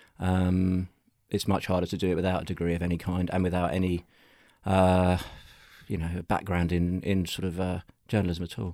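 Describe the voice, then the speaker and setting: A man with a London accent speaks in a very deep, low pitch with a dark, mellow tone and monotone, flat intonation. His pace is fairly quick, broken by long, frequent pauses, on a very clean recording with a silent background. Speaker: journalist and music counterculture historian. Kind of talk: interview conversation.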